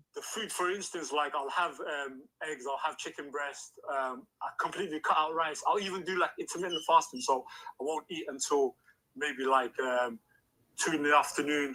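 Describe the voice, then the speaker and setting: This man's voice sits fairly high and has a bright, sharp tone. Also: ordinary pitch variation, moderate pace. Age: 30s. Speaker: caller. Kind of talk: casual chat. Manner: halting.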